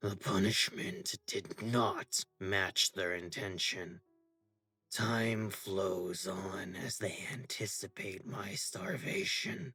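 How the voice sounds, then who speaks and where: A man does a put-on character voice, raspy and fairly low in pitch. He speaks at a very slow pace over music in the background. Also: fairly even intonation. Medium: read story. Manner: dignified, unshakably self-righteous.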